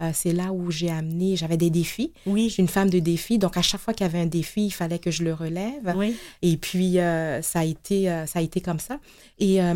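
A woman with a fairly low voice talks at a fairly quick pace with ordinary pitch variation, recorded very cleanly against a silent background. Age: 50s. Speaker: nonprofit executive. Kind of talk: interview. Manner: halting.

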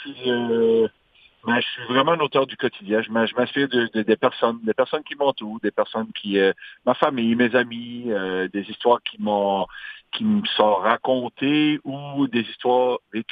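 A man with a Magdalen Islands accent, medium pitch, ordinary pitch variation and a fairly slow pace. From Magdalen Islands, Quebec. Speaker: singer-songwriter. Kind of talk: interview.

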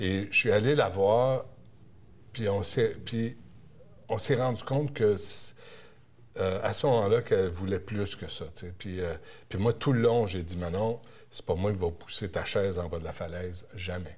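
A man with a Quebec accent speaks at a very slow pace in a fairly low pitch. His voice is somewhat breathy, with ordinary pitch variation. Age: 50s. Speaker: TV and radio journalist. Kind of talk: interview.

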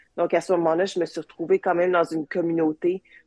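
A woman with a fairly low pitch talks at a very fast pace. The recording is dry and close, with no echo. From Quebec (Joliette), later Manchester, England. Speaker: space engineer. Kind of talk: interview. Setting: video call.

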